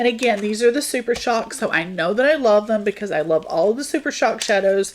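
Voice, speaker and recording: A woman speaks in an animated tone at a fairly high pitch and a fairly quick pace. Her intonation is lively, with noticeable background noise. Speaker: beauty vlogger. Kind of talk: product haul review.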